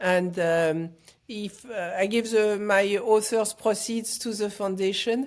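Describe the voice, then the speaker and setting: Very slowly and with fairly even intonation, a woman at medium pitch speaks in a French accent. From France, Paris. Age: 60s. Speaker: foundation founder and author. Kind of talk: interview. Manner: halting.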